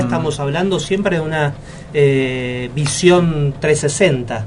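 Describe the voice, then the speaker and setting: A man speaks with a fairly high pitch and ordinary pitch variation. Noticeable background noise sits behind him. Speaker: leadership consultant, interview guest. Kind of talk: radio interview answer.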